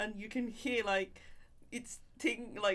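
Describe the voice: Speaking slowly, a woman uses a medium pitch, a fairly bright tone and fairly even intonation.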